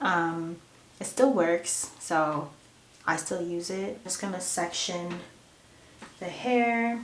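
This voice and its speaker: Speaking at a very slow pace with long, frequent pauses, a woman uses lively intonation at a fairly low pitch, while noticeable background noise and audible room echo fill the recording. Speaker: beauty vlogger. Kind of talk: get-ready-with-me tutorial. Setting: at home, bathroom. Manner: casual, many fillers; soft-spoken.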